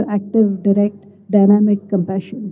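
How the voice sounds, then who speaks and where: A woman speaks with an unremarkable speaking voice at medium pitch. Her pace is moderate. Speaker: audience member asking question. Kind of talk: audience question. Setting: conference hall with audience.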